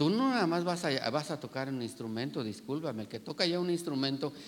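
Fairly high for a man, his voice carries lively intonation. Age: 60s. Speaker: pastor. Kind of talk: sermon; prayer. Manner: halting.

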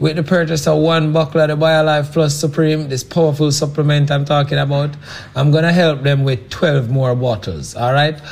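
This is an ordinary speaking voice from a man with a fairly high pitch. He keeps a moderate pace and fairly even intonation. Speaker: health products company president. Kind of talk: sales pitch.

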